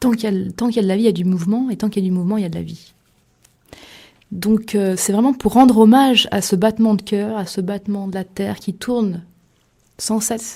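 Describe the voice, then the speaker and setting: Somewhat breathy with a dark, mellow tone, a woman talks at a very fast pace with fairly even intonation and long, frequent pauses. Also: medium pitch for a woman. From Limousin, France. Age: young. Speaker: author. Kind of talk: radio interview. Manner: hesitant, many fillers.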